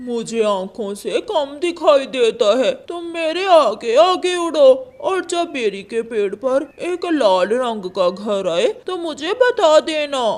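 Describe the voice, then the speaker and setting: A cartoonish character voice, high-pitched, at a fairly slow pace, with very wide pitch swings and hardly any pauses. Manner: sly, deceitful.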